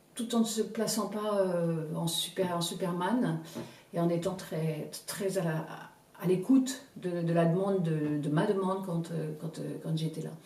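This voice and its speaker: Recorded with audible room echo and noticeable background noise, a woman speaks at a fairly slow pace in a fairly low pitch with ordinary pitch variation. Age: 60s. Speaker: customer giving testimonial. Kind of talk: testimonial interview. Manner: halting, many repetitions and hesitations.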